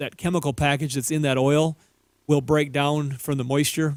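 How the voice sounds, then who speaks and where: A man with an American accent has an unremarkable speaking voice at a fairly high pitch. He talks at a fairly quick pace with fairly even intonation. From Minnesota. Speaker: auto repair show co-host. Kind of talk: call-in radio advice.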